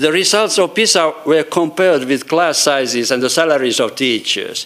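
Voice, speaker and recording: A man with a Finnish accent, fairly high pitch, ordinary pitch variation, very even loudness and a moderate pace, with noticeable background noise. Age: 60s. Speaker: professor emeritus of education. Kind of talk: conference talk. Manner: halting.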